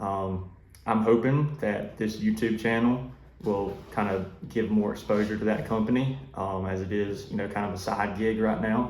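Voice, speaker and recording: With a Southern US accent, a man speaks at a fairly low pitch and moderate pace. His intonation is fairly even, and there is audible room echo. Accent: Southern US (Georgia). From US South, South Georgia. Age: 20s. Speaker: duck hunting YouTuber and waterfowl consultant. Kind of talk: casual self-introduction vlog. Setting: office. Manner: hesitant, many fillers.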